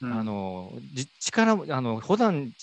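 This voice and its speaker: Very wide pitch swings mark the way this man talks. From Fukuoka, Japan (Iizuka). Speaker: elderly care facility director. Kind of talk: conversational interview.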